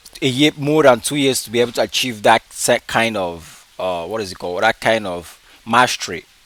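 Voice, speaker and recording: Recorded dry and close with no echo, a man speaks at a moderate pace with lively intonation. Noticeable background noise runs underneath. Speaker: forex trader, vlogger. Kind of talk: casual vlog monologue. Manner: unscripted, halting with fillers.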